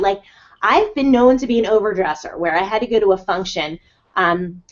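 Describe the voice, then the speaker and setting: A woman with a New Jersey accent at a fairly quick pace. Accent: New Jersey American. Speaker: life coach. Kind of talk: live webinar talk. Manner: fast; animated.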